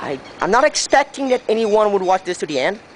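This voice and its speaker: Someone speaks in a Brazilian accent at a moderate pace. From Brazil, Santa Catarina. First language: Portuguese. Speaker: railway enthusiast vlogger. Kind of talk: walkthrough video narration. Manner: halting, hesitant.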